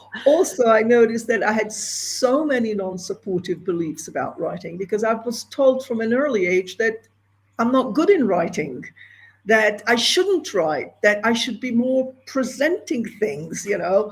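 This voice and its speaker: A woman with a fairly high pitch speaks at a moderate pace, her voice somewhat breathy. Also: lively intonation. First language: Hebrew. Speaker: entrepreneur and screenwriter. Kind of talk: interview.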